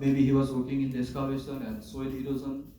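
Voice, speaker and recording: A man with a medium pitch speaks at a moderate pace. The room echo is audible, and there is noticeable background noise. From Nepal. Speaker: first aid trainer. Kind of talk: training class.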